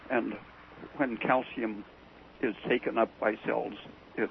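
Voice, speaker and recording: There is noticeable background noise behind this recording. A man speaks at a fairly slow pace with a medium pitch. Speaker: biologist and nutrition researcher. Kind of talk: radio interview. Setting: phone call.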